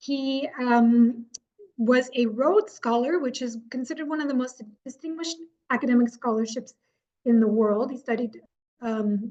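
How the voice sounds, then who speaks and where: Her voice sits at a high pitch. The woman's tone is dark and mellow. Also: ordinary pitch variation, moderate pace. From Canada, Newfoundland (Gander). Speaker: seniors' activities coordinator giving a talk. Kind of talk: presentation talk. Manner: hesitant, many fillers.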